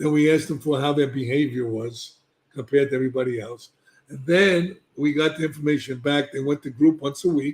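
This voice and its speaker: This man talks fairly quickly with a New York accent. His pitch is fairly high and his intonation fairly even. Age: 70s. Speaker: addiction treatment expert. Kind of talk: podcast interview. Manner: emphatic.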